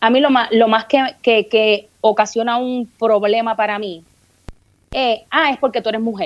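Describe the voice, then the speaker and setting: A woman talks in a Puerto Rican accent at a fairly high pitch. Her pace is fairly slow and her intonation fairly even. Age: 40s. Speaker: comedian and podcaster. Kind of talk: casual interview chat.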